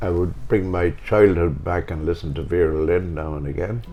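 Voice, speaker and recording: Music plays behind a man speaking with a Waterford accent at a moderate pace. His pitch is very deep and low. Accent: Waterford Irish. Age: 80s+. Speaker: retired showband pianist. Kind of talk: casual chat.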